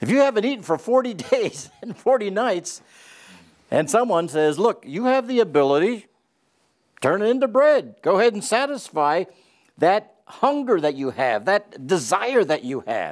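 With long, frequent pauses and very wide pitch swings, a man talks at a moderate pace over a quiet background. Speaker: Bible teacher. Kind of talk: lecture. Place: studio. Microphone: lapel.

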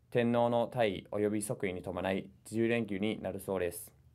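Against a quiet background, a man speaks at a fairly low pitch. His intonation stays fairly even. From New Zealand. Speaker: international relations coordinator. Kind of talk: language lesson. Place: meeting room.

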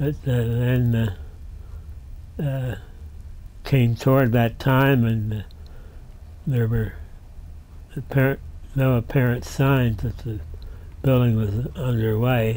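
A man with an American accent speaks at a very slow pace in a dark, mellow tone. His intonation is fairly even, and long, frequent pauses run through it. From southeastern Pennsylvania (Doylestown); Pennsylvania. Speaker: retired railroad museum director and rail historian; interviewee. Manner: gently amused, chuckling warmly at his own anecdotes.

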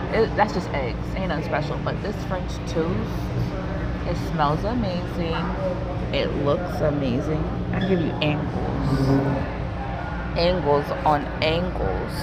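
Against loud background noise, a woman speaks at a very slow pace with long, frequent pauses. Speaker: food vlogger. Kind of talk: casual vlog chat. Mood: cheerful, playful. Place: cafe. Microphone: earbuds.

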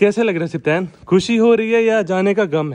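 This man speaks with ordinary pitch variation. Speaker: pet vlogger. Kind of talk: casual vlog chat. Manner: animated.

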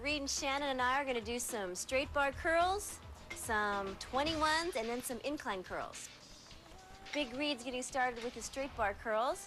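Over clear background music, a woman with a high pitch speaks at a moderate pace. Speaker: fitness show host. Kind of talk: tutorial. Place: gym.

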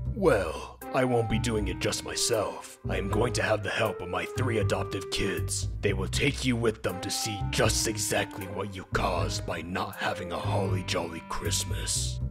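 Clear music plays in the background as a man performs a cartoonish character voice. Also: moderate pace. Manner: solemn, then testy.

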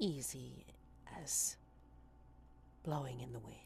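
A woman speaks in a put-on character voice. Her pace is very slow. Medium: actual play. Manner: gossipy, sly.

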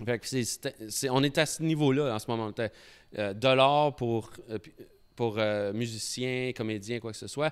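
On a very clean recording with a silent background, a man in a plain, everyday voice speaks at medium pitch and a moderate pace with ordinary pitch variation. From Embrun, Eastern Ontario. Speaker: brewery owner. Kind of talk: casual chat. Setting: brewery.

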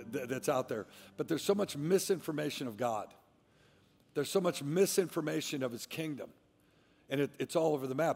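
The speaker is a man with normal pitch movement. He keeps up a fairly quick pace. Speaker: pastor. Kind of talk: sermon. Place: stage. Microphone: headset.

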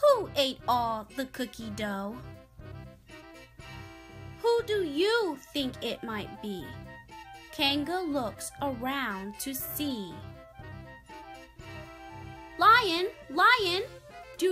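A woman's bright, sharp voice moves with lively intonation at a very slow pace, broken by long, frequent pauses. Faint music plays in the background.

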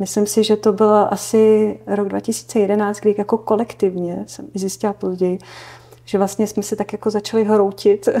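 The woman here talks at a moderate pace. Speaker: interview guest. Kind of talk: interview answer. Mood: calm, personal, reflective. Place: studio.

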